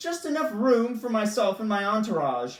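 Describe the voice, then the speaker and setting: Moderately paced, fairly high-pitched, a put-on character voice. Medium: read story. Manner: haughty and commanding.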